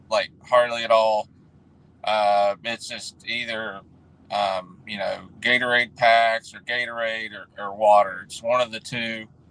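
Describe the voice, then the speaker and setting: Speaking at a fairly slow pace, a man with a medium pitch and a bright, sharp tone keeps a monotone, flat intonation while his loudness swings widely. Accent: West Virginia. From West Virginia. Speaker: refrigeration technician. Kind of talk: casual chat. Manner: halting.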